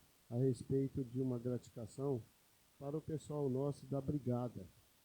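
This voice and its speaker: This man's voice has a dark, mellow tone and a medium pitch. He speaks at a moderate pace with fairly even intonation. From São Paulo state, Brazil (interior). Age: 50s. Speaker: city councillor. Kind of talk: council session speech.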